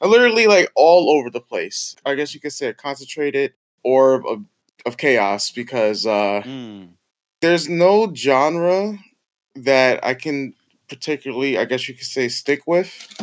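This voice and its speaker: A man with an American accent and a normal speaking voice talks at a fairly slow pace, his fairly high pitch carrying lively intonation. The sound is dry and close with no echo, and his loudness swings widely. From US Northeast (Bronx, New York). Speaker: event planner and YouTuber. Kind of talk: casual chat.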